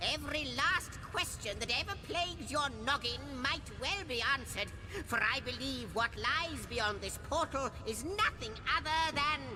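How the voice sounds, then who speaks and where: The speaker uses a put-on character voice. Loud noise fills the background. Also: moderate pace. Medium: video game. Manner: theatrical, fussy.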